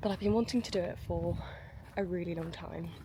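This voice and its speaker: A woman speaks with an English accent at a moderate pace. Her voice is soft-spoken. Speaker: online coach and vlogger. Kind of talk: casual vlog. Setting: outdoors.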